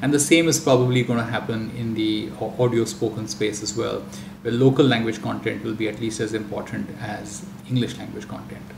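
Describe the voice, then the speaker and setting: Medium-pitched male voice with a Marathi accent, fairly quick and lively in intonation, with audible room echo and noticeable background noise. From India (Marathi-speaking region). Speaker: audiobook industry executive. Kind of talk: panel discussion.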